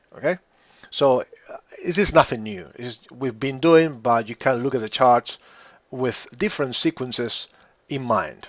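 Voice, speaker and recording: At a fairly slow pace, a man with an unremarkable speaking voice talks at a medium pitch, showing ordinary pitch variation and big swings in loudness. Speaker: trading educator. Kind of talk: tutorial.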